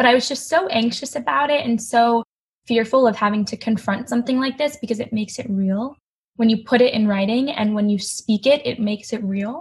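A woman with an unremarkable speaking voice, fairly high-pitched, at a fairly quick pace with ordinary pitch variation. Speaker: college student and eating disorder survivor. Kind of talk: personal testimony in interview.

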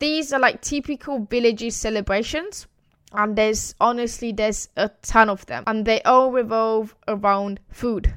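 On a very clean recording with a silent background, a woman with an Italian accent speaks in an animated tone at a fairly high pitch and a moderate pace, with ordinary pitch variation. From Italy. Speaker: podcast host. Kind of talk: solo podcast monologue.

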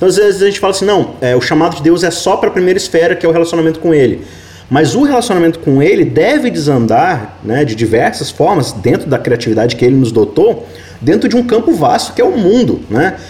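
Through noticeable background noise, a man with a high pitch talks at a very fast pace, his pitch swinging very widely while his loudness stays very even. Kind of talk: Bible study discussion.

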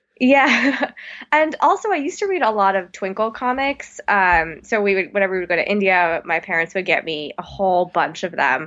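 Speaking at a moderate pace, a woman with an American accent has an unremarkable speaking voice at medium pitch and lively intonation. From Texas (Plano, Dallas suburb). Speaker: author. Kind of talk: interview.

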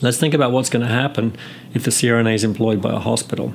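With an English accent, a man speaks at a medium pitch with fairly even intonation against noticeable background noise. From England. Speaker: nurse anesthetist and professor. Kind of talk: interview. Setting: recorded interview, 2015.

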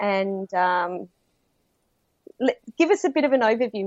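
Speaking at a fairly slow pace, a woman with an Australian accent uses lively intonation at a medium pitch. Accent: Australian, noticeable to US listeners. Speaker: podcaster and business consultant acting as guest host. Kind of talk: casual interview chat. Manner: enthusiastic.

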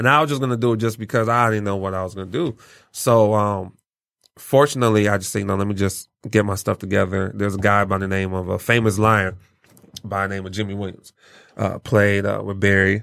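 With fairly even intonation and a fairly quick pace, the man speaks in a fairly low pitch. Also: very clean recording, silent background. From Lansing, Michigan (born in Nigeria). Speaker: former college football player and business consultant. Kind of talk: podcast interview. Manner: halting, many fillers.

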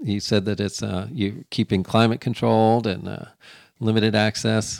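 A man talks at a moderate pace with a medium pitch and a plain, everyday voice. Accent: American. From Florida. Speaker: podcast host. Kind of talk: interview.

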